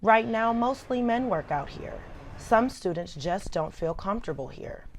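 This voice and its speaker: With an American accent, a woman uses a normal speaking voice with lively intonation at a moderate pace. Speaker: TV news reporter and anchor. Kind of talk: scripted news package anchor read.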